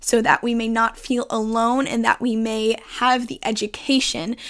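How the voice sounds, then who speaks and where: In a very clean recording with a silent background, a woman with an American accent and an ordinary speaking voice talks at a fairly slow pace with fairly high pitch. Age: 20s. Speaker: mental health podcaster. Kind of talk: personal monologue.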